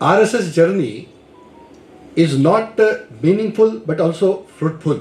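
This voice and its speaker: A man with a Marathi accent at a high pitch, a fairly slow pace with long, frequent pauses and lively intonation, amid noticeable background noise and audible room echo. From India, Maharashtra. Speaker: lecturer. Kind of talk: lecture. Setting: lecture hall with audience. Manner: hesitant, with fillers.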